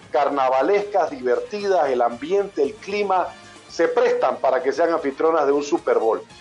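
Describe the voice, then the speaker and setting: A man speaks at a moderate pace as music plays behind him. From Panama, living in Mexico. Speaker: sports broadcaster, voice of a sports TV network for NFL. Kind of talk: interview answer.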